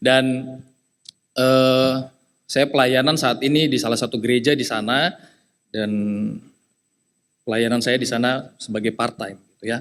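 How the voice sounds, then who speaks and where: A man speaks with a slight eastern Indonesian accent and fairly even intonation. He leaves long, frequent pauses. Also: medium pitch for a man, moderate pace. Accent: slight eastern Indonesian (Papuan). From eastern Indonesia (Jayapura, Papua), Nias family. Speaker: lay preacher. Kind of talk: sermon. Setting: church service. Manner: conversational with many fillers.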